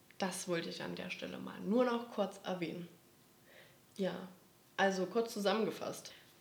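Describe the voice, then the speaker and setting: A woman speaks with fairly even intonation and long, frequent pauses, with audible room echo and noticeable background noise. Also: medium pitch for a woman, moderate pace, big swings in loudness. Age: 20s. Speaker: podcast host, social work student. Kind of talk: casual chat.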